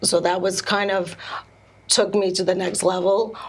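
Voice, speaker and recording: Noticeable background noise is present. A woman talks at a moderate pace in a medium pitch. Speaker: speech pathologist and swimwear entrepreneur. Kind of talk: interview. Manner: halting.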